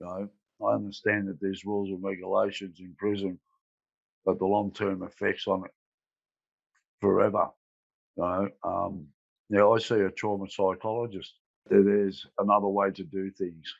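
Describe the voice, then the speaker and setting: A man with an Australian accent talks in a fairly low, monotone, flat voice at a moderate pace, with long, frequent pauses. His loudness swings widely over a quiet background. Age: 60s. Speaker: former prisoner. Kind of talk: testimony. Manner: halting.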